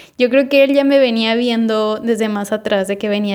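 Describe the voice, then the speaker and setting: A woman speaks with a Mexican accent and ordinary pitch variation. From Mexico. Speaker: podcast host. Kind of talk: casual storytelling monologue.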